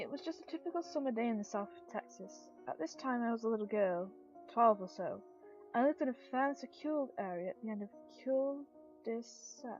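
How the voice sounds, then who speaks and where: Over music in the background, a woman with a fairly high voice talks at a fairly quick pace with very wide pitch swings. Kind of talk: creepypasta story reading.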